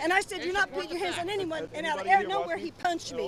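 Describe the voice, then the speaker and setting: Over crowd noise in the background, a woman speaks at an extremely high pitch with ordinary pitch variation. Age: 60s. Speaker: rally attendee. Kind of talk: street interview. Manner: animated.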